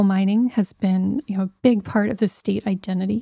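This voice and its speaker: In an American accent, a woman speaks with a dark, mellow tone, somewhat breathy and with fairly even intonation, on a very clean recording with a silent background and a dry, close sound with no echo. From US, Pittsburgh, Pennsylvania. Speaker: climate scientist. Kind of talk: interview. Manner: hesitant, many fillers.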